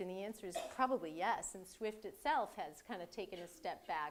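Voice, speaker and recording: A woman with a Boston accent, at a moderate pace and with ordinary pitch variation. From Boston area. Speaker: cybersecurity executive. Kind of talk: lecture. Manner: halting, many fillers and repeats.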